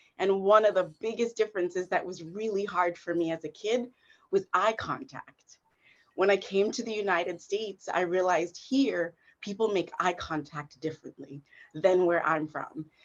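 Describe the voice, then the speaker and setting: Speaking at a moderate pace with a northeastern US accent, a woman keeps a medium pitch and ordinary pitch variation. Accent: American English (northeastern US). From South Africa. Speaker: performance artist and equity consultant. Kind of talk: panel discussion.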